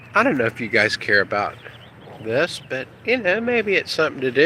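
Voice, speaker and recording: There is noticeable background noise behind this man as he speaks. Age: 60s. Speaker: internet marketer. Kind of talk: casual vlog walkthrough. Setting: outdoors at home. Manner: rambling conversational.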